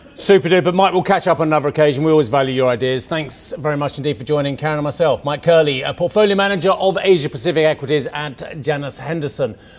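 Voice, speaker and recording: Speaking at a very fast pace with hardly any pauses, the voice shows ordinary pitch variation over noticeable background noise. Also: man, fairly high pitch for a man. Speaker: business news anchor. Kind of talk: news broadcast. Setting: studio.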